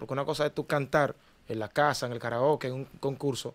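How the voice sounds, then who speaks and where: This man has an unremarkable speaking voice at a medium pitch. He talks at a fairly quick pace with fairly even intonation. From Dominican Republic, Cristo Rey (Santo Domingo); Dominican Republic. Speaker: singer, ex talent show contestant; podcast guest. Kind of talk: interview. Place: studio. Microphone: studio mic.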